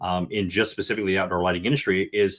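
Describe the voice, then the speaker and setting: At a very fast pace, a man speaks at a fairly low pitch. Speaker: outdoor lighting designer. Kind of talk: podcast interview.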